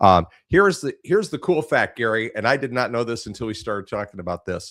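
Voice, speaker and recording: Over a silent background in a very clean recording, a man talks at a very fast pace, his medium-pitched voice making very wide pitch swings. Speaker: podcast host, former radio DJ. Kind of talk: casual interview chat.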